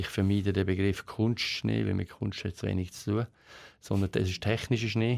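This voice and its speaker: On a very clean recording with a silent background, a man speaks at a moderate pace in a monotone, flat intonation. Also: fairly low pitch for a man. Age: 50s. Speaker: company CEO. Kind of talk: interview.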